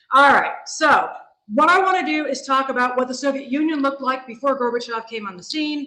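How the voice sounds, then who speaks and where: In an American accent, a woman speaks fairly quickly in a raised, projected, high-pitched voice, with ordinary pitch variation, big swings in loudness and audible room echo. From US Pacific Northwest, Seattle. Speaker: history professor. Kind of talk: lecture. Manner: fast.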